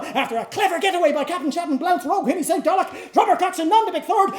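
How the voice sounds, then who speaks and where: Pitched extremely high, a man's voice carries over noticeable background noise. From Irish-Canadian. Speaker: actor. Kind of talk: literary reading before a live audience. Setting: live performance in a pub.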